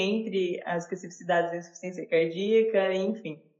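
A woman's fairly low-pitched, an ordinary speaking voice, with fairly even intonation. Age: 20s. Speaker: university student researcher. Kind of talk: interview.

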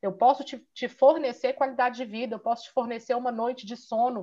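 A woman's high voice comes through against a quiet background. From Minas Gerais, Brazil. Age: 30s. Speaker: physiotherapist and Pilates business owner. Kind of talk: interview.

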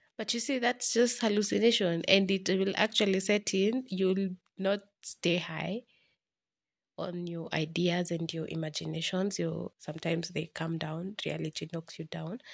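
This woman's fairly low voice has ordinary pitch variation and a moderate pace, captured with a dry, close sound and no echo. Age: 20s. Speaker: podcast host. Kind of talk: casual solo monologue. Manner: halting, self-correcting.

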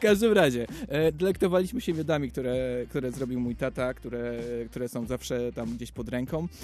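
Over noticeable background noise, a man with a medium pitch talks at a fairly quick pace, his intonation lively and his loudness swinging widely. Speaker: radio host. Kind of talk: casual chat.

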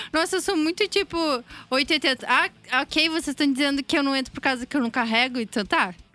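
Her voice raised and projected, a woman speaks at a moderate pace in a high, bright and sharp tone with lively intonation, in a very clean recording with a silent background and a dry, close sound with no echo. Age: 20s. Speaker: sound technician. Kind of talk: casual chat.

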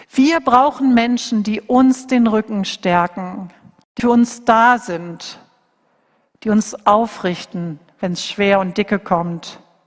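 A woman speaks at a very slow pace in a warm tone, her voice fairly high and somewhat breathy. Her pitch varies in an ordinary way. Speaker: preacher. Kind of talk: sermon; fervent prayer, earnest intercession closing the sermon. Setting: church. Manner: earnest, intense, pleading; warm, heartfelt, steady.

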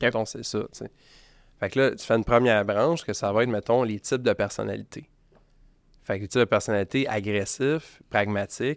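With a Quebec accent, a man talks at a fairly quick pace with long, frequent pauses, a medium pitch and ordinary pitch variation, in a very clean recording with a silent background and a dry, close sound with no echo. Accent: Québécois French. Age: 30s. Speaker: marketing agency owner. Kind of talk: casual interview.

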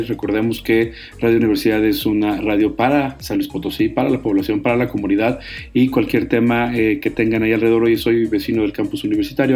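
Here a man speaks at a fairly quick pace and a medium pitch. He has an ordinary speaking voice with fairly even intonation. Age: 40s. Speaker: radio host. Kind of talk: radio talk show.

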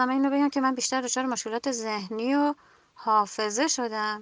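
In a raised, projected voice with a bright, sharp tone, a woman speaks at a high pitch and a moderate pace, with ordinary pitch variation, a quiet background and a dry, close sound with no echo. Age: 30s. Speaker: general practitioner, covid survivor. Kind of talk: recorded voice message testimony.

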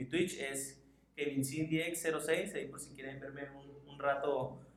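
Amid audible room echo, a man with a fairly high pitch speaks at a fairly slow pace in a monotone, flat intonation. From Mexicali, Baja California, Mexico. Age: 20s. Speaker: podcast co-host, gaming streamer. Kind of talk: casual chat.

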